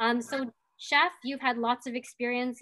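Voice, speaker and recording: A woman speaks at a fairly slow pace in a bright, sharp tone. The background is quiet. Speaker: event host. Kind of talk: live event hosting introduction. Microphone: video call.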